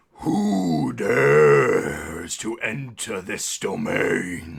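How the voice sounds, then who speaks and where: In a put-on character voice, a man drawls at a very slow pace with a very deep, low pitch. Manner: commanding.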